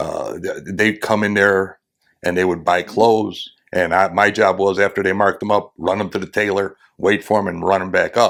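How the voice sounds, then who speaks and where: A man with an American accent, fairly low pitch and monotone, flat intonation at a moderate pace, on a very clean recording with a silent background. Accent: childhood Greek accent went away. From Chicago, US Midwest. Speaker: retired police officer. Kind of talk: interview storytelling.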